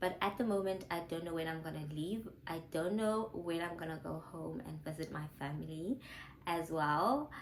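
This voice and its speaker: A woman's fairly low voice with ordinary pitch variation and audible room echo. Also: moderate pace. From South Africa. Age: 20s. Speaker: YouTuber, former physiotherapist. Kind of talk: casual Q&A vlog chat.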